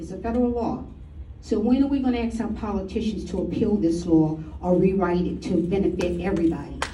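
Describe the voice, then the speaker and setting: A woman talks at a moderate tempo, with audible room echo and noticeable background noise around her. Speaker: resident speaking at public comment. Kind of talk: public comment at town meeting. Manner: halting. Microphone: too far from microphone at first.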